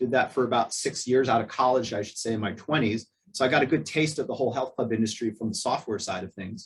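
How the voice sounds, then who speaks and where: A man's medium-pitched, somewhat breathy voice at a very fast pace, with hardly any pauses. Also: ordinary pitch variation. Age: 50s. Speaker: gym owner. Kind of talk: webinar interview.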